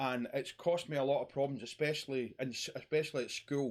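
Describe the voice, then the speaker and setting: With a Scottish accent, a man speaks at a fairly quick pace and a fairly high pitch, keeping his intonation fairly even. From Scotland. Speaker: YouTuber talking about mental health. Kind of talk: personal monologue vlog.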